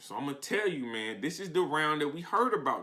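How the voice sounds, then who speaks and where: The voice sounds animated, with a bright, sharp tone. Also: man. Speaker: battle rap commentator. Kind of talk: recap commentary. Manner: slow.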